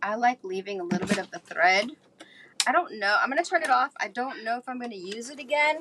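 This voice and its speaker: A woman's voice with very wide pitch swings amid noticeable background noise. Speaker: crafter and journal maker. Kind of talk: craft tutorial livestream. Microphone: no microphone, audio going in and out.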